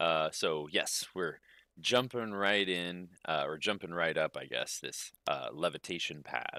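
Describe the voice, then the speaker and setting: With vocal fry and a bright, sharp tone, a man speaks at a very slow pace in a dry, close sound with no echo. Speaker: gaming streamer. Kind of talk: live let's play commentary. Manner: casual, hesitant with fillers. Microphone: echoey sound.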